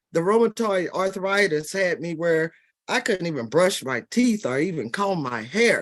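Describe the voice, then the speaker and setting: A woman speaks at a moderate pace with a medium pitch, very wide pitch swings and vocal fry. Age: 70s. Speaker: product user giving testimonial. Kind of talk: testimony.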